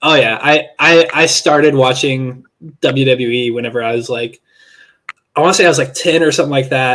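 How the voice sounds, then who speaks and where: At a fairly quick pace, a man with a fairly high voice speaks with fairly even intonation in an unremarkable speaking voice. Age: 20s. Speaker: interviewer. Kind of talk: casual chat.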